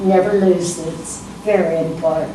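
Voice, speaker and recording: With background noise clearly present, a woman talks rather slowly. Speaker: congregation elder. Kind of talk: interview answer.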